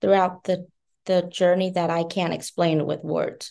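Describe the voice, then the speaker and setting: A woman with a Vietnamese accent speaks in a dark, mellow tone against a quiet background. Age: 20s. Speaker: beauty company founder. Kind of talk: interview.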